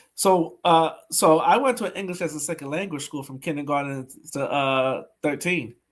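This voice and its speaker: Fairly high in pitch, this man shows ordinary pitch variation and big swings in loudness. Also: moderate pace. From Brooklyn, New York, Haitian immigrant family. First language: Haitian Creole. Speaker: podcast host, coach. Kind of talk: casual interview chat. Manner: animated.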